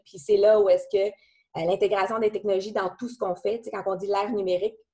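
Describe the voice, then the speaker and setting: Speaking with a Quebec accent, a woman has a medium-pitched voice. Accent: Québécois French. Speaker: company president. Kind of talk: business talk. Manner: halting.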